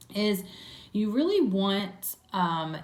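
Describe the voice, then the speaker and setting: In an American accent, a woman speaks at medium pitch with lively intonation. Audible room echo surrounds her voice. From New Jersey, Trenton. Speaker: beauty vlogger. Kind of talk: makeup tutorial. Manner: chatty, many fillers.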